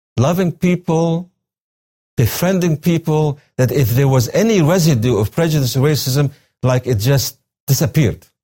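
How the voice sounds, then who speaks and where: Lively intonation marks this man's fairly high voice, which has a dark, mellow tone, is somewhat breathy and keeps very even loudness. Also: moderate pace. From Syria. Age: 60s. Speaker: retired religion professor and pastor. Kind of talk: interview.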